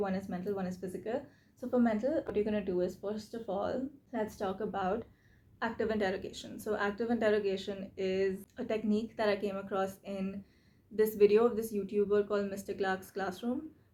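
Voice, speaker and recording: A woman with a dark, mellow tone talks fairly quickly at medium pitch, keeping her intonation fairly even. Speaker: YouTuber, self-reflection and reading channel host. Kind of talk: tutorial. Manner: fast; casual, conversational.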